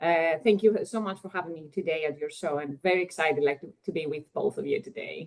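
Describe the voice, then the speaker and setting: At a very fast pace, a woman with a Greek accent speaks at fairly low pitch, her loudness swinging widely while her pitch varies in an ordinary way. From Greece. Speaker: economist. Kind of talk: interview.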